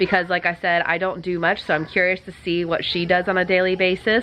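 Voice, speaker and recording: Noticeable background noise behind a woman's medium-pitched voice at a moderate pace. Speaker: cleaning vlogger. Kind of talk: casual vlog talk.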